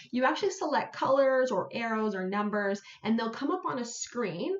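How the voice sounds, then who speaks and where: A woman talks at a fairly quick pace with very wide pitch swings. Audible room echo surrounds her voice. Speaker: senior fitness educator; presenter. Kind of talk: live-streamed webinar presentation. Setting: live stream on social media. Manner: fast. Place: home room. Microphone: webcam.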